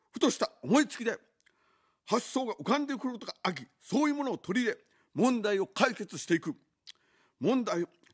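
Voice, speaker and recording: A man talks at a fairly quick pace in an extremely high voice, with lively intonation. Long, frequent pauses break up his speech against a quiet background. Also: big swings in loudness. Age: 50s. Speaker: political candidate; candidate. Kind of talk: campaign broadcast speech. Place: studio. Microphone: studio mic.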